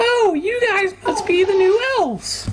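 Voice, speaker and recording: A man's squeaky put-on character voice in falsetto, extremely high-pitched, at a fairly slow pace, with clear background noise. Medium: actual play. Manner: chipper and pushy.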